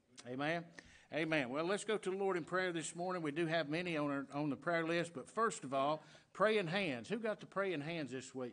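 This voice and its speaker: A man with a Southern US accent speaks at a moderate pace in a high voice, his pitch moving in an ordinary way. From US South. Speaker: pastor. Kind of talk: sermon. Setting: church. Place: church.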